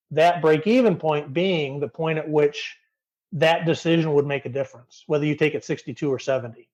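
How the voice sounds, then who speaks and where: With an American accent, a man delivers a plain, everyday voice at a fairly high pitch, a fairly quick pace and ordinary pitch variation. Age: 50s. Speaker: retirement blogger. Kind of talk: podcast interview.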